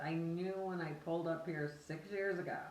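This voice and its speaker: A woman with a fairly low pitch is heard over noticeable background noise, with audible room echo. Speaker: haunted house owner. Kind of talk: casual chat.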